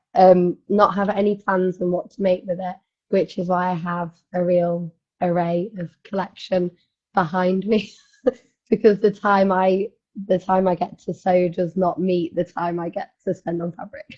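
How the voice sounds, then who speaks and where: Speaking with a British accent, a woman sounds somewhat breathy at a medium pitch. Her pace is moderate and her intonation monotone and flat. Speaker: sewing competition contestant. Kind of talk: casual chat.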